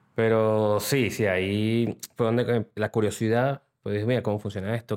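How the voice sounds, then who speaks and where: On a very clean recording with a silent background and a dry, close sound with no echo, a man speaks at a moderate pace with fairly low pitch. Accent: Venezuelan. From Venezuela, city. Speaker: digital transformation consultant. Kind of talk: interview. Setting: studio.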